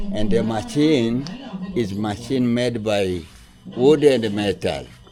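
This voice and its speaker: A man's medium-pitched voice at a very slow pace, lively in intonation, with audible room echo and noticeable background noise. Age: 70s. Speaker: coffee farmer and tour guide. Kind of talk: guided tour explanation. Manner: halting.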